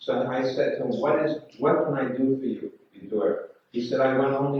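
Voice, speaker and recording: Delivered at a moderate pace, this is a plain, everyday voice with an American accent. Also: man. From New York City. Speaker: spiritual teacher. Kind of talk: lecture.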